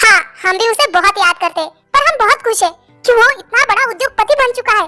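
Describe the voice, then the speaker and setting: A woman's put-on character voice at a very fast pace, with faint music in the background. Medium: read story. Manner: polite, gentle.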